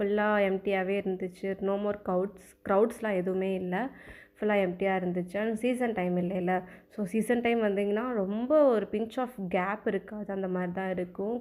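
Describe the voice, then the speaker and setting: On a very clean recording with a silent background, a woman speaks at medium pitch in a monotone, flat intonation. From Palani, Tamil Nadu. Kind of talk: casual vlog narration.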